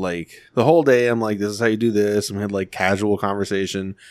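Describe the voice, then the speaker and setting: A man speaks in a normal speaking voice, fairly low in pitch, with fairly even intonation. The recording is very clean, with a silent background. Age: 20s. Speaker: podcast co-host. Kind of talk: casual chat.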